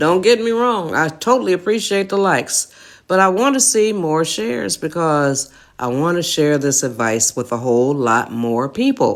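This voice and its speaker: A woman speaks at a very deep, low pitch and a moderate pace, with very wide pitch swings. The recording is very clean, with a silent background. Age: 80s+. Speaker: livestream host giving life advice. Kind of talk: live stream talk to viewers. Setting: live social media stream. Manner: conversational, folksy.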